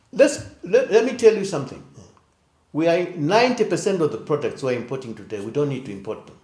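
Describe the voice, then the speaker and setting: Talking very fast, a man with a high yet dark, mellow voice shows very wide pitch swings and big swings in loudness. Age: 70s. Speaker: economics professor. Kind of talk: interview. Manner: blunt.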